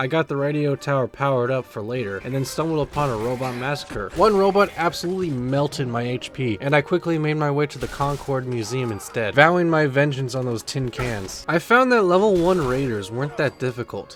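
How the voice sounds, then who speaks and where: Music runs in the background. A man speaks over it at a fairly quick pace. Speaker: gaming YouTuber. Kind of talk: gameplay commentary narration. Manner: casual, humorous.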